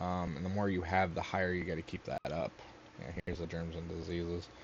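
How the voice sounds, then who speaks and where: A man mumbles his words. His pitch is very deep and low. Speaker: gaming youtuber. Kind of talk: casual gameplay commentary. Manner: mumbling.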